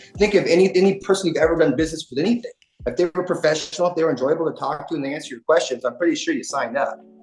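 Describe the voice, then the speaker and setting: Music plays in the background. A man talks very fast in a high voice with ordinary pitch variation. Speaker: public adjuster. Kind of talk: casual chat.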